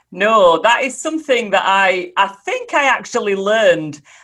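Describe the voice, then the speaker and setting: Over a very clean, silent background, a woman speaks with a Yorkshire accent at a fairly slow pace. Her pitch swings very widely. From Yorkshire, northern England (Holmfirth). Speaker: speaker and mentor. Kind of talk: interview. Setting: podcast.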